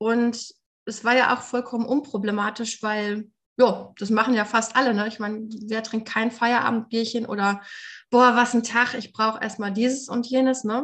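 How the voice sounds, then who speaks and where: A woman's fairly high-pitched voice, monotone and flat, at a moderate pace over a quiet background. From Germany. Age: 30s. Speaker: recovering alcoholic, nonprofit worker. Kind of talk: interview testimony.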